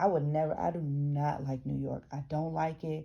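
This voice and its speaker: With an American accent, a woman speaks at a moderate pace in a very deep, low, dark and mellow voice with monotone, flat intonation, on a very clean recording with a silent background. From US South (metropolitan city). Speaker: YouTuber reading a book aloud with commentary. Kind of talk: reading aloud with casual commentary. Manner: halting, many restarts.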